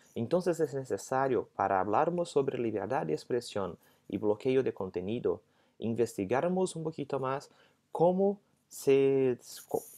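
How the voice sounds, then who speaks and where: Lively intonation and a dark, mellow tone mark this fairly slow speech in a Portuguese accent, set against a quiet background. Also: man. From Brazil. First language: Portuguese (speaking Spanish). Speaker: legal scholar. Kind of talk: lecture; interview answer. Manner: halting. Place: home room. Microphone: earbuds.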